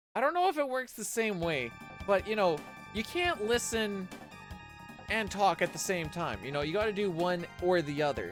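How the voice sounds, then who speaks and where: Delivered at a moderate pace, the speech has music playing in the background. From Canadian. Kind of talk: casual conversational.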